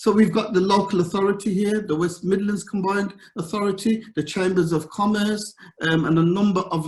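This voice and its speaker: A man speaks with a slight Birmingham accent. His intonation stays fairly even. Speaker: governance consultant. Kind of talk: conference talk. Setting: virtual event.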